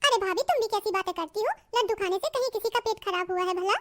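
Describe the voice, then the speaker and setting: In a cartoonish character voice, a woman squeaks at an extremely high pitch and a very fast pace. Music plays in the background. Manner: chatty, friendly.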